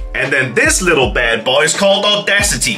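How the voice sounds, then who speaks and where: A man talks at a fairly quick pace. Faint music plays in the background. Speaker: video creator. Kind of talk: casual vlog chat. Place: studio.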